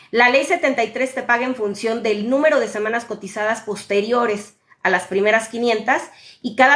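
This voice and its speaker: Speaking at a fairly quick pace, a woman with a normal speaking voice has a fairly high pitch and fairly even intonation. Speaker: social security advisor. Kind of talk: live Q&A stream. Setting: live stream on social media.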